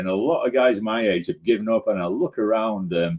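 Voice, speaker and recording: This man's speech comes at a fairly quick pace. He shows ordinary pitch variation. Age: 60s. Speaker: recreational runner. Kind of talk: casual interview chat. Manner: halting, many repetitions.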